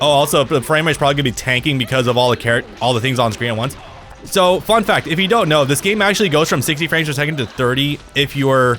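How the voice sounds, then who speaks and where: A man talks very fast at a fairly high pitch, with lively intonation and very even loudness. Noticeable background noise runs throughout. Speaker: gaming streamer. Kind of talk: live gameplay commentary. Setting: live stream.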